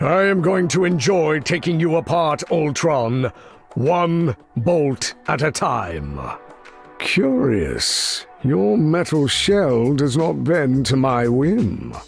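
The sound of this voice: In a put-on character voice, a man speaks slowly with a fairly high pitch, big pitch swings, vocal fry and a slightly husky edge, while faint music plays in the background.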